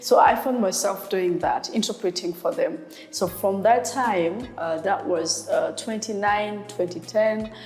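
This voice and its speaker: A woman with a Rwandan accent speaks at a fairly slow pace in a medium pitch, with ordinary pitch variation and music playing in the background. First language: Kinyarwanda. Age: 30s. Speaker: sign language interpreter. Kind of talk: interview. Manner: hesitant with fillers.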